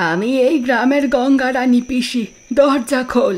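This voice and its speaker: A woman speaks in a high-pitched, put-on character voice. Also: moderate pace. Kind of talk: audio drama dialogue.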